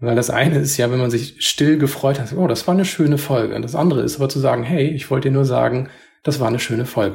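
A man's medium-pitched voice with vocal fry, at a very fast pace with ordinary pitch variation. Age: 40s. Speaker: podcast co-host. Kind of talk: casual chat. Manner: calm, composed.

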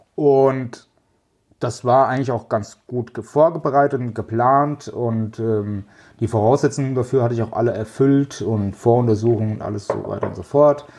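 With a dark, mellow tone, a man talks at a medium pitch in fairly even intonation. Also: moderate pace. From central Hesse, Germany. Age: 40s. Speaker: logistics manager. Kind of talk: interview.

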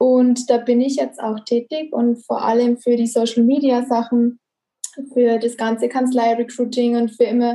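A woman's high voice stays monotone and flat at a fairly slow pace. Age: 20s. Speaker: office employee, recruiting. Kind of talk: interview.

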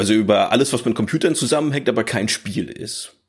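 Slight northern German accent, ordinary pitch variation, and a very clean recording with a silent background. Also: man. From northern Germany. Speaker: former games hardware journalist. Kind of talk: podcast interview.

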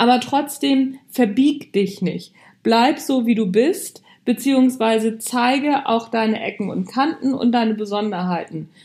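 A woman's fairly high voice, lively in intonation, at a fairly slow pace. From Hamburg, northern Germany. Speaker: podcast host, leadership coach. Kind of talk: motivational monologue. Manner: casual, conversational.

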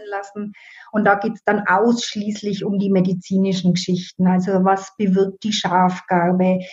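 With a Franconian accent, this woman talks in a monotone, flat intonation while her loudness swings widely. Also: medium pitch for a woman, moderate pace. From Middle Franconia, Germany. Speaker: herbal educator and home economist. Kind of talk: interview.

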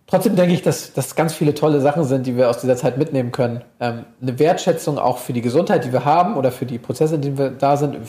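Talking at a very fast pace, a man with a fairly high pitch shows ordinary pitch variation against noticeable background noise. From Hamburg, northern Germany. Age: 30s. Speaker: sports psychologist. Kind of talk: interview.

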